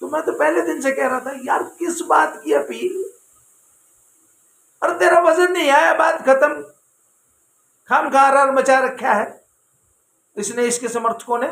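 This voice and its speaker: A man with an extremely high pitch speaks in an animated tone with lively intonation, taking long, frequent pauses. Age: 60s. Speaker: YouTube commentator. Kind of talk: opinion commentary monologue.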